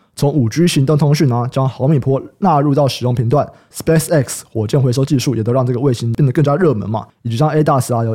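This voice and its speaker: A man's medium-pitched, somewhat breathy voice with a dark, mellow tone, ordinary pitch variation and a fairly quick pace. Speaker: podcast host. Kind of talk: casual chat. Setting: studio.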